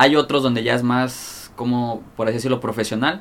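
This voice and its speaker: Speaking in a Mexican accent, a man keeps a fairly quick pace and fairly even intonation. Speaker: rapper and freestyler. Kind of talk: casual chat. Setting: studio.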